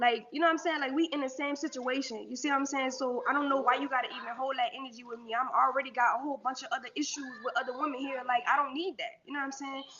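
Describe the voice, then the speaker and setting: There is noticeable background noise as a woman talks at a very fast pace. Her voice is high, and her intonation is fairly even. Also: hardly any pauses. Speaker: woman telling her life story. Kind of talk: personal testimony.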